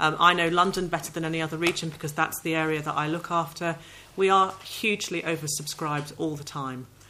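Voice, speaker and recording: Noticeable background noise sits behind the voice. The delivery is monotone and flat at a very fast pace. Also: woman, fairly low pitch for a woman. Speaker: session chair. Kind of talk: chaired panel discussion. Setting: conference hall with audience.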